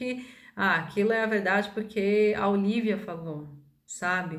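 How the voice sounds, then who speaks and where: Fairly high-pitched female voice with ordinary pitch variation and audible room echo. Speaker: holistic therapist and spiritual video maker. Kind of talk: casual monologue to camera. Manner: hesitant, many fillers.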